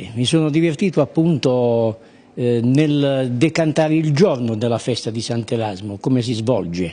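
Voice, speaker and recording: Moving fairly slowly, the speaker's dark, mellow tone carries lively intonation. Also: man, medium pitch for a man. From Apulia, Italy. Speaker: local dialect poet; interviewee. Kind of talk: interview answer. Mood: pleased, relaxed. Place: shop. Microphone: handheld.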